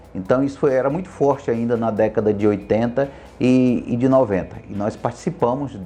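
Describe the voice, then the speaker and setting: A man at medium pitch, with music in the background. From Brazil, Acre (Tarauacá). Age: 40s. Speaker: criminal lawyer and teacher. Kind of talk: interview testimony.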